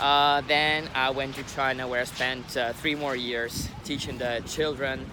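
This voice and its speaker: A man speaks at a fairly slow pace and medium pitch, with fairly even intonation. Audible room echo and noticeable background noise can be heard. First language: not English. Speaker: English teacher, vlogger. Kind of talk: vlog introduction. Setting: outdoors by the sea. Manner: halting, many fillers.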